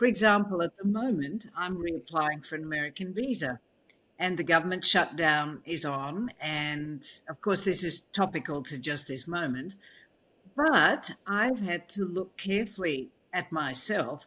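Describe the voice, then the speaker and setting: Bright, sharp tone and lively intonation at a fairly slow pace, on a very clean recording with a silent background. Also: woman, fairly low pitch for a woman. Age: 70s. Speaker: keynote speaker and author. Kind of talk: interview conversation.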